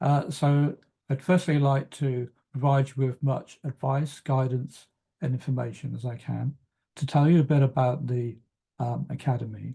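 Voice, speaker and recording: Somewhat breathy and dark, mellow in tone, a man speaks at medium pitch and a moderate pace with fairly even intonation. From West Country of England. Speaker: travel consultancy coach. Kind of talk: webinar presentation. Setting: online webinar. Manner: hesitant, many fillers.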